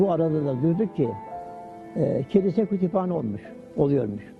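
Music in the background behind a man's fairly high voice, lively intonation and moderate pace. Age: 80s+. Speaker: retired factory worker and avid reader. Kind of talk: interview answer.

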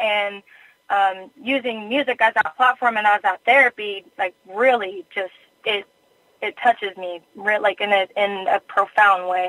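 A woman speaks at a fairly slow pace in a plain, everyday voice. Her pitch variation is ordinary. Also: medium pitch for a woman. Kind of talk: interview.

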